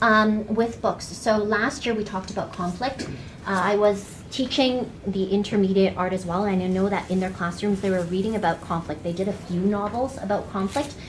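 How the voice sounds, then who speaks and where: A woman with a medium-pitched voice and fairly even intonation is heard with audible room echo and noticeable background noise. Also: hardly any pauses. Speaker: art teacher. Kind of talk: workshop demonstration. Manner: fast.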